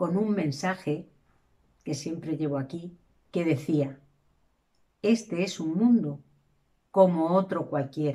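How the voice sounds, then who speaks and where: A woman's fairly low, dark, mellow voice at a very slow pace, full of long, frequent pauses, against a quiet background. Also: ordinary pitch variation. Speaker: storyteller. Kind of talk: storytelling narration. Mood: calm, reflective. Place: home room. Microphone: camera far.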